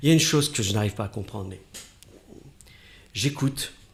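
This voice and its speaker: The recording is very clean against a silent background. A man is speaking. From northern France, Oise. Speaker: radio host. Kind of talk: interview.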